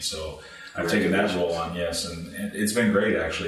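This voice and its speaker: With a General American accent, a man with a very deep, low pitch talks at a very fast pace over background music and audible room echo. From Iowa and Hawaii, US. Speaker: sports administrator. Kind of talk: interview. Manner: halting, many fillers.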